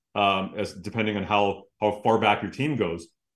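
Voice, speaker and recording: At a moderate speed, the speaker uses a normal speaking voice. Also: man. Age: 30s. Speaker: hockey analyst and broadcaster. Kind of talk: casual interview chat.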